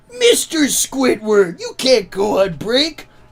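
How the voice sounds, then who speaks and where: A cartoonish character voice, fairly high in pitch and fairly slow in pace. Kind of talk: cartoon character voice.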